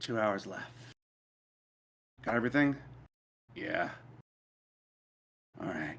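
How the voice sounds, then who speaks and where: A man speaks in a put-on character voice at medium pitch, raspy and at a moderate pace. His intonation is lively, broken by long, frequent pauses. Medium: actual play. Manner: casual, offhand chatter.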